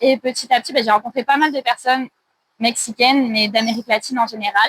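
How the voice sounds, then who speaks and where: In a dry, close sound with no echo, a woman talks at a very fast pace, her pitch high and her intonation fairly even. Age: 20s. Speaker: traveller and online French teacher. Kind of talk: casual interview.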